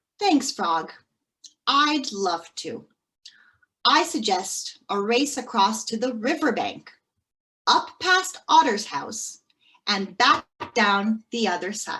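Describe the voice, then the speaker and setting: Putting on a squeaky character voice, a woman speaks at a high pitch with very wide pitch swings, at a very slow pace with long, frequent pauses. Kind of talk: bedtime story. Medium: read story.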